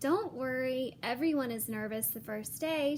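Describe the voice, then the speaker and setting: A woman puts on a character voice at a high pitch and moderate pace. Clear background noise can be heard. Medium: read story. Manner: effusive, brisk.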